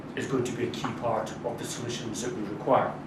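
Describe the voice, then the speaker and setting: A man with a Scottish accent at a moderate pace, with audible room echo and noticeable background noise. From Scotland. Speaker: diplomat. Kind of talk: formal speech. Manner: formal.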